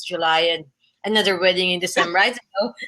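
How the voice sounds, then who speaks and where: A bright, sharp tone in a Filipino accent at a fairly quick pace. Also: woman. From Philippines. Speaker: travel blogger. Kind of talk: interview. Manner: halting.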